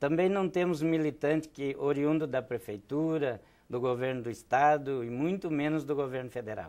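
A man speaks at a fairly high pitch and a moderate pace, with ordinary pitch variation. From Rio Grande do Sul, Brazil. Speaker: political candidate, trade unionist; candidate. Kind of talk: TV interview. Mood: earnest political argument. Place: studio. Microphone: lapel.

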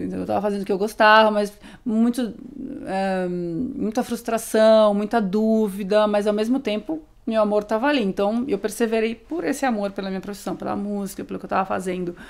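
In a quiet background, a woman talks at a fairly quick pace with a fairly high pitch and ordinary pitch variation. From Brazil, interior of São Paulo state (Amparo); São Paulo state, Brazil. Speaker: DJ; guest. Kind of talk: casual interview. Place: studio. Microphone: studio mic.

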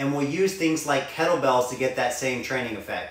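There is audible room echo around the speaker, a man. He shows ordinary pitch variation. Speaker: fitness trainer. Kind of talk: tutorial. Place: home room. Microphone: camera far.

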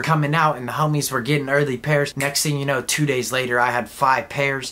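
An animated man with an American accent. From Southern California (Inland Empire, Chino); California. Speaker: sneaker YouTuber. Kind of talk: casual product review; casual vlog chat. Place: home room.

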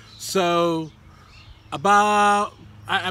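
A man talks in a bright, sharp tone. The sound is dry, with no echo. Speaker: toy collector vlogger. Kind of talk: casual vlog chat. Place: garden. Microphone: phone near.

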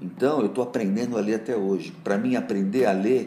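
Intonation is lively and the tone dark and mellow. The pace stays moderate. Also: man. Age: 60s. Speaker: advertising executive. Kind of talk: interview answers.

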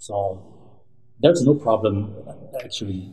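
A man's somewhat breathy voice with a dark, mellow tone and fairly low pitch. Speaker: professor. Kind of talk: interview. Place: office.

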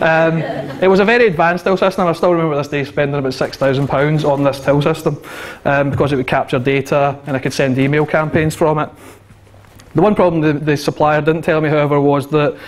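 A man's very fast speech with fairly even intonation. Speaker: conference speaker. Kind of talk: conference talk. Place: hall. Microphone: handheld.

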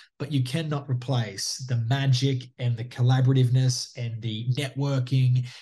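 Against a quiet background, a man speaks in a monotone, flat way at a moderate pace with hardly any pauses. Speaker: guest. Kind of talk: interview answer. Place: home room. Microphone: video call.

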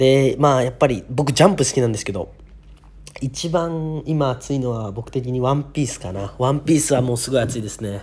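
He speaks at a fairly quick pace in a medium pitch, somewhat breathy. The man's pitch varies in an ordinary way. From Japan, Niigata. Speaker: YouTuber. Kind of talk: casual vlog monologue. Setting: hotel room in quarantine. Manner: casual, rambling and run-on.

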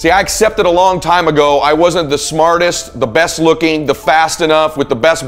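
A man at a moderate pace with ordinary pitch variation, music in the background. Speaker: motivational speaker. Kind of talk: motivational speech.

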